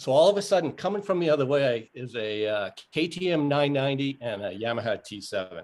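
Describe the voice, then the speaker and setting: A man at a moderate pace, with an American accent and very wide pitch swings. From Maine, US. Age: 60s. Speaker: motorcycle rider. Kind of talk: casual interview.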